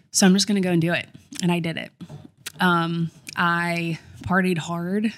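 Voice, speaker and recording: A woman speaks at a fairly low pitch and a moderate pace, with monotone, flat intonation. Her pauses are long and frequent. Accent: Southern US. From US South, Columbia, South Carolina. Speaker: podcaster and influencer. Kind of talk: interview.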